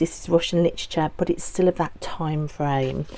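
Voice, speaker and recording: With a Birmingham accent, a woman talks at a moderate pace in a dark, mellow tone. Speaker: book vlogger. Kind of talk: casual vlog talk.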